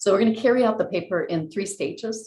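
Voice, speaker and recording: Lively intonation runs through the woman's somewhat breathy voice. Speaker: keynote speaker, economist. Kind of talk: academic lecture. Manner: fast.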